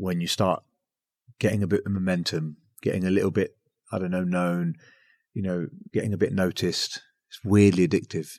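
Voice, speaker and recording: Recorded very clean with a silent background and a dry, close sound with no echo, a man with an English accent speaks in a very deep, low pitch and a calm tone, fairly quick yet with long, frequent pauses and fairly even intonation. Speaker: podcast host. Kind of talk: podcast interview. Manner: calm, lowered podcast voice.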